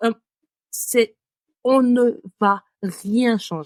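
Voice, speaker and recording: On a very clean recording with a silent background and a dry, close sound with no echo, a woman speaks at a fairly high pitch with ordinary pitch variation. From West Africa. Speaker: podcast co-host, marketing consultant. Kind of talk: casual chat.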